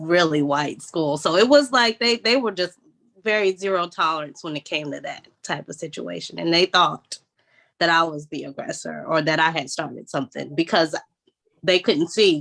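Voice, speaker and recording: This woman's fairly low voice carries vocal fry, and her pitch varies in an ordinary way. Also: moderate pace. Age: 30s. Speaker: guest. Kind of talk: casual chat.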